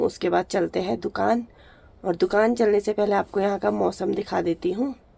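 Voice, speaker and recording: A woman's dark, mellow voice at medium pitch carries vocal fry, recorded dry and close with no echo. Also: very even loudness. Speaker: vlogger. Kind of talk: casual vlog narration.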